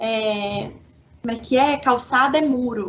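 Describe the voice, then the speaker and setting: A woman is speaking. Her pitch is high and her intonation fairly even. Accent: Minas Gerais. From Minas Gerais, Belo Horizonte. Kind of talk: radio interview.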